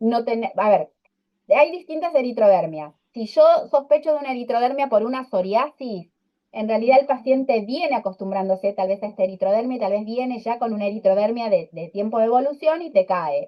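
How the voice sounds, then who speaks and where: The speech moves at a fairly quick clip. Its intonation is lively. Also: woman, fairly high pitch for a woman. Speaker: dermatology lecturer. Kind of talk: online lecture. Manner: fast.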